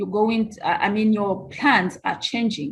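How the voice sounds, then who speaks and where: A somewhat breathy woman, at a fairly slow pace. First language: not English. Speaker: grassroots nonprofit leader. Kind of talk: panel discussion.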